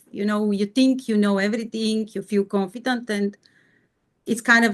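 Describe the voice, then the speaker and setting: Against a quiet background, a woman with a Bulgarian accent speaks at a fairly high pitch. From Bulgaria, Sofia. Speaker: mining executive. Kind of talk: interview. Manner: halting.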